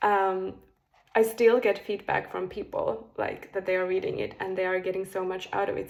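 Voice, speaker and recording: A woman with a Finnish accent at a moderate pace, on a very clean recording with a silent background. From Finland. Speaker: spiritual coach. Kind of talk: casual monologue to camera. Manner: hesitant, with fillers.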